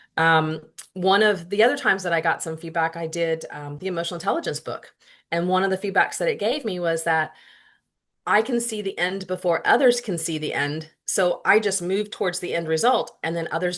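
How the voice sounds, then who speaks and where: The woman's pitch is fairly low. Her pitch variation is ordinary. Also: quiet background. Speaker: workplace leader and guest presenter. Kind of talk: presentation. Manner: fast.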